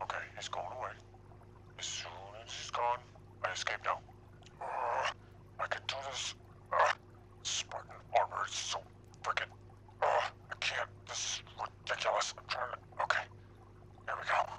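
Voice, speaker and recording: A man talks at a moderate pace with long, frequent pauses over clear background noise. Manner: exasperated, panicky.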